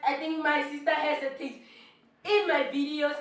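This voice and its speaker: A woman speaks in an animated tone with audible room echo. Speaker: vlogger. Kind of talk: casual vlog challenge. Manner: loud.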